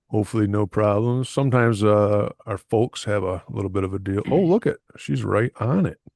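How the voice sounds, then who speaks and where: A plain, everyday voice, this man speaks with an American accent at a fairly quick pace and a fairly low pitch, with ordinary pitch variation and hardly any pauses, in a dry, close sound with no echo over a quiet background. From Michigan. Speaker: podcast host. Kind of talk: casual chat.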